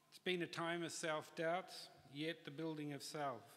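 Over light background noise, a man with a New Zealand accent speaks at a fairly high pitch. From New Zealand, Auckland. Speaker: industrial designer receiving honorary degree. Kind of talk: graduation address. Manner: formal. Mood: grateful, formal, uplifting. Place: hall. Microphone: podium.

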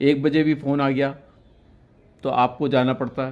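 Flat, monotone delivery at a moderate pace. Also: man. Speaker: senior photojournalist. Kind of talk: interview. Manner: halting. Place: home room. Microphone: handheld.

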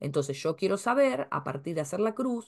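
A woman's very wide pitch swings against a quiet background. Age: 50s. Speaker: astrologer and family-tree course teacher; astrology course teacher. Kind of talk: casual talk to camera. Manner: hesitant, many filler sounds. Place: home room. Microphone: webcam.

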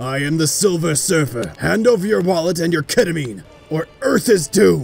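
Over faint background music, a man does a put-on character voice with a fairly high pitch at a moderate pace. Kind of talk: comedic parody dub. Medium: dub.

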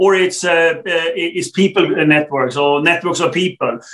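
In a Swedish accent, a man talks at a moderate pace and a high pitch, with a quiet background. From Sweden. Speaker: telecom executive; guest. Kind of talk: interview. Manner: halting, many fillers. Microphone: video call.

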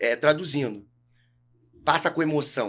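Lively intonation marks this man's speech. He talks at a moderate pace with a fairly high pitch. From Brazil, Rio de Janeiro. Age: 40s. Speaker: jiu-jitsu coach. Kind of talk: podcast interview. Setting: studio. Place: studio. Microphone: studio mic.

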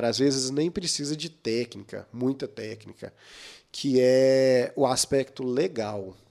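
A man against a quiet background. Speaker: podcast guest. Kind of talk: interview answer. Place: studio. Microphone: studio mic.

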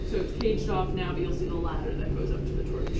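A woman's voice carries audible room echo over loud background noise. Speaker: park ranger guide. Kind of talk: tour guide explanation. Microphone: camera far.

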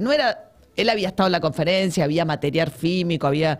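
A woman speaks at a very fast pace. The background is quiet. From Argentina. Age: 50s. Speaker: journalist and author; journalist. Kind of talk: interview about her book. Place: studio. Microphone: studio mic.

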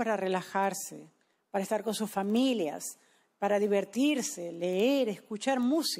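Moderately paced and lively in intonation, a woman with an unremarkable speaking voice is heard on a very clean recording with a silent background. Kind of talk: sermon. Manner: consecutive interpreter, echoing each English sentence in Spanish; formal, measured, solemn.

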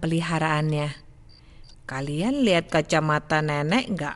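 The intonation of this woman is lively. She keeps a moderate pace. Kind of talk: bedtime story reading, repetitive fairy tale. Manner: halting, stumbling and repeating lines, searching for words.

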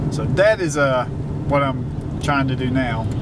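There is loud background noise. A man speaks at a fairly slow pace. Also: dry sound with no echo. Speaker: vlogger. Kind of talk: casual vlog chat. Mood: relaxed storytelling. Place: car. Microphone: phone near.

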